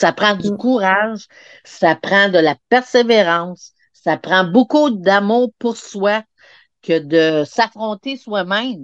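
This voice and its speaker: A woman speaks very slowly at a medium pitch, her intonation lively. The sound is dry and close with no echo, over a quiet background. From Quebec, Montreal. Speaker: hypnosis practitioner. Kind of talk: interview, personal testimony. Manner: halting, many repetitions.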